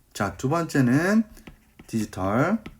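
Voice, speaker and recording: This man talks at a very slow pace and medium pitch, with very wide pitch swings and vocal fry. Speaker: cover letter writing coach. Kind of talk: online lecture. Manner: animated.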